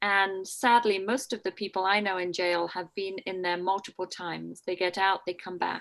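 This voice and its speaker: A woman with a Scottish accent speaks at a moderate pace and a medium pitch, her intonation monotone and flat. The recording is very clean, with a silent background. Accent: faint Scottish. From Scotland. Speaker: jail chaplain and priest. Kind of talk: talk to a church group.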